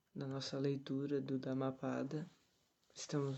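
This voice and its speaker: Soft-spoken, a man talks at a fairly slow pace with a medium pitch, a dark, mellow tone, and monotone, flat intonation. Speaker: tai chi teacher. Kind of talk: reading aloud with commentary, meditation livestream. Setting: livestream from someone else's home. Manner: soft-spoken, quiet. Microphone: phone mic, speaking close to it.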